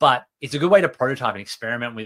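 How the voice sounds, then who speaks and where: In an Australian accent, a man talks at a very fast pace with a medium pitch and lively intonation. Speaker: software developer advocate. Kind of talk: tech livestream talk. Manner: hesitant, many fillers.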